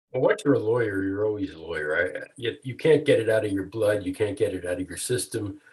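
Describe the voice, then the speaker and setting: A somewhat breathy man's voice sits at medium pitch. Its pitch varies in an ordinary way. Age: 70s. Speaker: retired lawyer turned author. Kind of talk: interview. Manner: halting, many fillers and repeats.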